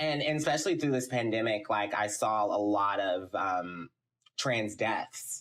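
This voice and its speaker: A man with a plain, everyday voice and an American accent speaks at a fairly low pitch with lively intonation and very even loudness. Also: fairly slow pace. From Texas, Houston. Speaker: film production company CEO. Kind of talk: podcast interview.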